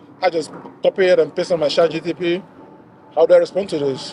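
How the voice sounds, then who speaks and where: A man talks at a very fast pace and a high pitch. Noticeable background noise sits behind him. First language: not English. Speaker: software pipeline engineer. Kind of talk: casual chat. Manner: casual, filler-heavy.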